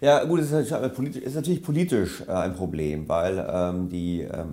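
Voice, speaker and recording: A man's fairly low voice with very wide pitch swings. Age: 50s. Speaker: economist and author. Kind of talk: interview. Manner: hesitant fillers.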